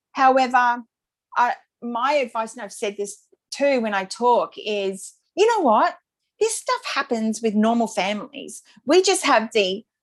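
A woman's fairly high voice in an Australian accent, fairly slow, with lively intonation. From Brisbane, Australia. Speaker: birth mother and author. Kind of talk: interview testimony.

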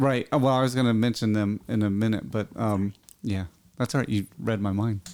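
This man has a plain, everyday voice, pitched fairly low. His intonation stays fairly even and his loudness very even. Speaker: guest, camp organizer. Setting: studio.

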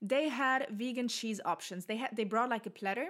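A woman with a German accent speaks at a fairly high pitch with ordinary pitch variation on a very clean recording with a silent background. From southern Germany. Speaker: podcast host. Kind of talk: casual solo monologue. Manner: hesitant, many fillers.

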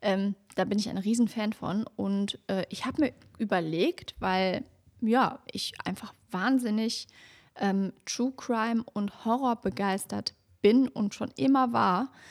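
A woman's fairly high voice at a very slow pace with ordinary pitch variation, on a very clean recording with a silent background and a dry, close sound with no echo. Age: 30s. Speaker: true crime podcaster. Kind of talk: casual chat; scripted narration.

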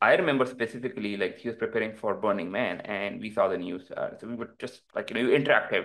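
A man talks at a very fast pace with hardly any pauses. He has a Pakistani accent. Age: 30s. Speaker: crypto entrepreneur. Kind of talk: casual interview. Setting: remote call.

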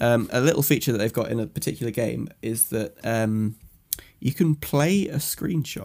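With an ordinary speaking voice, a man of medium pitch talks at a moderate pace using lively intonation. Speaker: podcast host. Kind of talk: casual banter podcast.

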